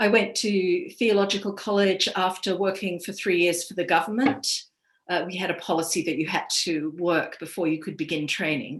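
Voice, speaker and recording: In an Australian accent, a woman speaks at a moderate pace, her medium pitch showing ordinary variation. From Australia, east coast. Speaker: priest. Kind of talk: personal testimony talk. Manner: measured, with frequent fillers.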